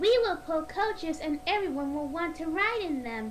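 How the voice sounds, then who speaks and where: Over clear background noise, a woman does a squeaky, put-on character voice at extremely high pitch and a moderate pace. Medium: read story. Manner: kind, sensible.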